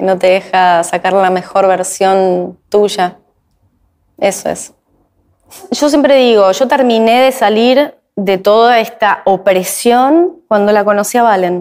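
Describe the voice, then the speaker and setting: In a Rioplatense accent, a woman speaks very slowly at a medium pitch with ordinary pitch variation and very even loudness over a quiet background. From Argentina. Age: 40s. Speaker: YouTuber and actress; YouTuber, actress. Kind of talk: interview. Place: studio.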